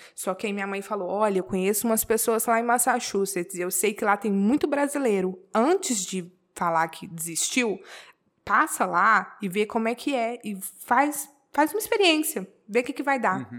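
A woman with a normal speaking voice and a fairly high pitch talks at a moderate pace with lively intonation. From Brazil, Belo Horizonte, Minas Gerais. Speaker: tattoo artist. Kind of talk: casual interview.

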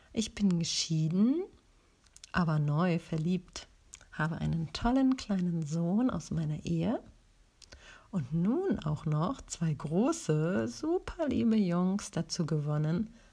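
A woman's fairly low, dark and mellow voice, somewhat breathy, with lively intonation and a very slow pace. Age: 40s. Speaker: podcast host. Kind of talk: personal introduction monologue.

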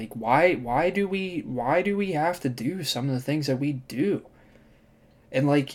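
An unremarkable speaking voice from a man, fairly slow with lively intonation, on a very clean recording with a silent background. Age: 20s. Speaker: solo podcaster. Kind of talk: casual monologue. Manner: casual, slangy.

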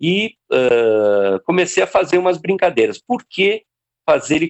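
A man speaks with very wide pitch swings. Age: 60s. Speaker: cartoonist. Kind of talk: casual chat.

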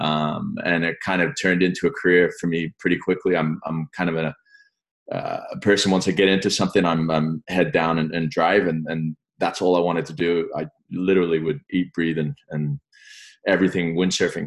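This voice moves at a moderate pace with ordinary pitch variation. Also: man, very deep, low pitch for a man. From England. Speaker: sports association executive, former windsurfer. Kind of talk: interview.

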